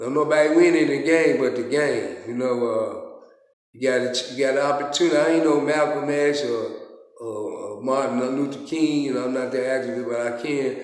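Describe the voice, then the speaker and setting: Over noticeable background noise and audible room echo, a man talks at a fairly quick pace with fairly even intonation and a fairly high pitch. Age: 60s. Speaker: former gang leader. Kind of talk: interview testimony.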